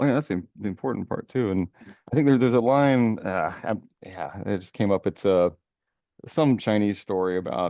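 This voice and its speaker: A man in an American accent uses a plain, everyday voice, fairly low in pitch, with lively intonation at a moderate pace. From United States. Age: 40s. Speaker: podcast host. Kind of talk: casual interview.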